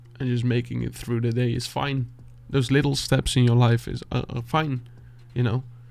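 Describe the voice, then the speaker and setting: A man with a Dutch accent, medium pitch, moderate pace and monotone, flat intonation. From Netherlands. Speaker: beatboxer and music reaction youtuber. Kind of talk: heartfelt motivational talk to camera. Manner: halting, searching for words.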